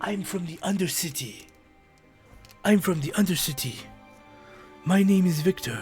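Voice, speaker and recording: A put-on character voice at a middle pitch and moderate pace, with faint music in the background. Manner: exaggerated, imitative.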